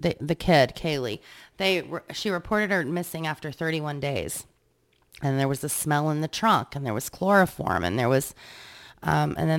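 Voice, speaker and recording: At a moderate pace, a woman speaks with a very deep, low pitch in a very clean recording with a silent background. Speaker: podcast co-host. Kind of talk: casual chat.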